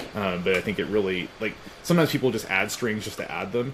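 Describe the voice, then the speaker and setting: There is noticeable background noise. Over it, a man speaks with a fairly low pitch. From US Southeast. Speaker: music interviewer. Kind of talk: interview. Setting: video call.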